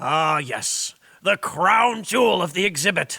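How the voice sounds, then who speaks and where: Putting on a character voice, a man speaks fairly slowly in a high, raspy tone with ordinary pitch variation. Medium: audio drama. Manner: gruff, blustering, boastful.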